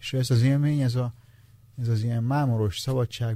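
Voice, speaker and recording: A man speaks in a dark, mellow tone, somewhat breathy. His intonation is fairly even, and the sound is dry and close, with no echo. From Transylvania, Romania. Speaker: novelist. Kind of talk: interview.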